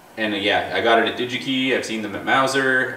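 Over light background noise and audible room echo, a man talks at a fairly quick pace. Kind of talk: tutorial. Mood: relaxed, mildly frustrated. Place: garage.

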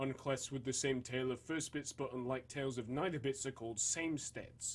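A somewhat breathy man at medium pitch, with a Northern English accent. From Northern England. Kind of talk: reading aloud a text on atomic theory.

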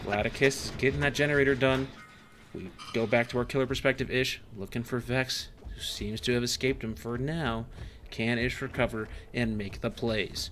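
Over music in the background, a man talks at a moderate pace in a medium pitch. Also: ordinary pitch variation. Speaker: gaming youtuber. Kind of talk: mock esports commentary. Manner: animated.

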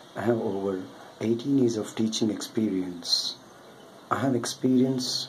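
Fairly even intonation at a fairly slow pace, with noticeable background noise. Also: man. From South India. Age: 40s. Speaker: online math tutor. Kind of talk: self-introduction video. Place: home room. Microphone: webcam.

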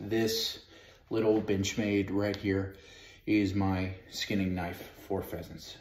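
Over light background noise and audible room echo, a man with a fairly low pitch speaks at a very slow pace in a flat, monotone intonation. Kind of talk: tutorial. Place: home room. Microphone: camera far.

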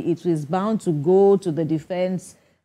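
A woman's fairly low voice carries a dark, mellow tone. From Nigeria. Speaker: TV news anchor. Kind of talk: TV news panel moderation. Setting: TV studio. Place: studio.

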